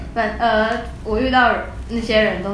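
Audible room echo and noticeable background noise surround the recording. A woman speaks at a fairly slow pace. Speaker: recent college graduate and traveller. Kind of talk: casual interview.

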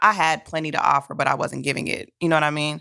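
Over a very clean recording with a silent background, a woman talks at a fairly quick pace in a very deep, low voice with a bright, sharp tone and vocal fry. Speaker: podcast co-host. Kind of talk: casual chat. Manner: stutters when flustered.

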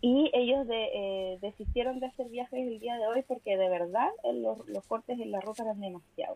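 With a Chilean accent and a fairly high pitch, a woman talks with hardly any pauses and ordinary pitch variation. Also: moderate pace. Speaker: podcast co-host. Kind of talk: casual chat.

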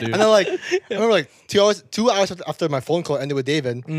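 With noticeable background noise behind him, a man speaks at a fairly quick pace in a high pitch, making very wide pitch swings. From Jakarta, Indonesia. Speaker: podcast guest. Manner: fast talker.

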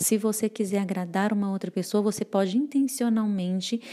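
This woman has a dark, mellow tone. She speaks at a moderate pace. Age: 30s. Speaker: married mother, church mentor. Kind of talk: casual chat.

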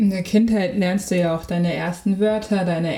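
Speaking at a moderate pace, a woman with a normal speaking voice keeps a fairly low pitch and fairly even intonation. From Germany. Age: 20s. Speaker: podcaster. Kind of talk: casual chat.

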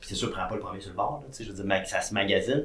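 A man's voice with audible room echo. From Quebec, Saguenay-Lac-Saint-Jean. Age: 30s. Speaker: entrepreneur and TV host. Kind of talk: casual interview.

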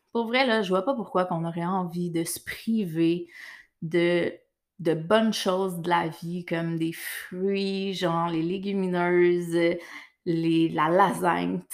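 Speaking very slowly with a Quebec accent, a woman with a fairly low pitch keeps her intonation fairly even in a very clean recording with a silent background. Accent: Québécois French. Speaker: podcast host, nutritionist. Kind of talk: solo monologue; casual interview chat.

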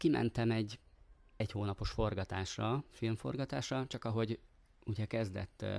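On a very clean recording with a silent background, a man with a fairly low pitch talks at a fairly slow pace with ordinary pitch variation. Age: 40s. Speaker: actor and volunteer helper. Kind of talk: casual interview.

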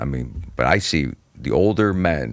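Very slowly, a man speaks with vocal fry at a very deep, low pitch. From Cleveland, Ohio. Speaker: stand-up comedian. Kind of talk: casual chat.

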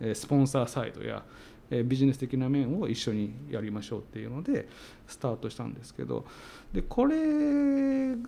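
The man's volume rises and falls sharply. He keeps to a moderate pace. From Tsuyama, Okayama, Japan. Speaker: company CEO. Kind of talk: interview.

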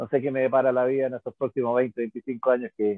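Speaking at a fairly quick pace, a man talks in a medium pitch. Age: 60s. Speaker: physics teacher and rugby coach. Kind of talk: casual chat. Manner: halting, many repetitions.

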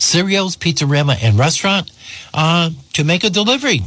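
Somewhat breathy, the man's voice carries through. He moves along at a moderate pace. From Rhode Island. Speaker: radio host. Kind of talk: radio interview. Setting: studio.

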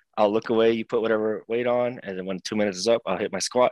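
A man with an American accent speaks at a medium pitch in monotone, flat intonation. The sound is dry and close with no echo, on a very clean recording with a silent background. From Seattle, US Pacific Northwest. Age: 20s. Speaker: professional wrestler. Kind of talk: casual interview.

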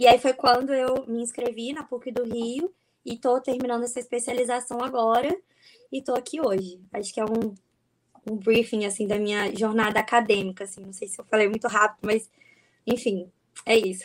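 A plain, everyday voice from a woman, fairly high in pitch, moderate in pace, with ordinary pitch variation and big swings in loudness. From Espírito Santo, Brazil. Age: 20s. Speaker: neuropsychologist. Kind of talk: casual chat. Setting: video call.

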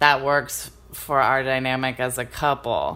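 A woman with a Californian accent speaks at a fairly slow pace. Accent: Californian American English. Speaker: podcast host. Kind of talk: casual chat. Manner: animated.

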